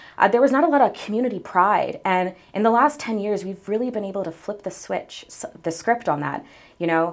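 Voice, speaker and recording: Talking at a fairly quick pace, a woman with a normal speaking voice and an American accent uses a medium pitch and lively intonation. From Salisbury, Maryland Eastern Shore. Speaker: city council member and mayoral candidate. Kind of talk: interview.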